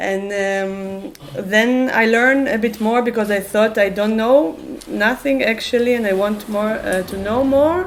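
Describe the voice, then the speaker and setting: A woman's fairly high voice, with audible room echo and noticeable background noise. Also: ordinary pitch variation, fairly slow pace. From Israel. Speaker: activist and musician. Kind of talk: open talk with audience. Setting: public talk event. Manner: halting, many fillers.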